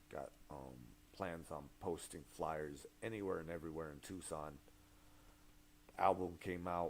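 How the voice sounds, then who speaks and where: Very deep, low male voice with vocal fry, fairly even intonation and a fairly slow pace. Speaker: rapper. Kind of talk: casual livestream chat. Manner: halting.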